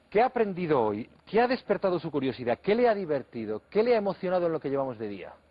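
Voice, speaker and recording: A high-pitched man at a very fast pace, with very wide pitch swings and hardly any pauses. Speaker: TV interviewer. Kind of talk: TV interview introduction.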